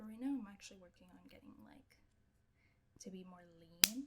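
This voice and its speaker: Soft-spoken and fairly slow, this voice has a bright, sharp tone. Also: woman. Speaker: streamer. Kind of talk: casual chat. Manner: quiet. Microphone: too quiet, held close to mic.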